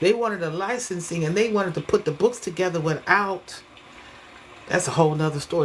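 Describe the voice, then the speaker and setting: Against noticeable background noise, a woman speaks in a fairly low pitch with an animated tone. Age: 60s. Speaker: hair stylist and online creator. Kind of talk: casual monologue vlog.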